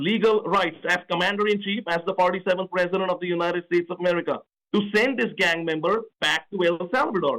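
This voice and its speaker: The tone is bright and sharp, with a slight Indian accent. Intonation stays fairly even. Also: man. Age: 40s. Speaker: political candidate. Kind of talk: radio interview. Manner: repetitive, emphatic.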